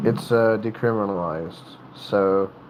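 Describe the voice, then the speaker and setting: The speaker has an American accent and moves at a very slow pace. Noticeable background noise runs underneath. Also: man. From North Carolina, US South. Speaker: livestreamer with tattoos and piercings. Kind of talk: casual livestream chat. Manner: halting, many fillers and restarts.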